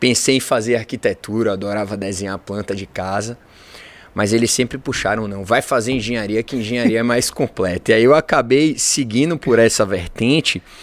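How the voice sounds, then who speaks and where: Using a Bahian accent, a man talks at a moderate pace with medium pitch and ordinary pitch variation. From Bahia, Brazil (Salvador). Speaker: engineer and entrepreneur. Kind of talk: podcast interview.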